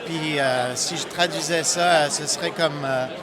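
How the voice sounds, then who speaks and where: In a Quebec accent, the speaker keeps a fairly even intonation, with audible room echo and noticeable background noise. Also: man. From Quebec, Montreal. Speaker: software company founder. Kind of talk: interview. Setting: conference booth. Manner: halting, many fillers and repetitions.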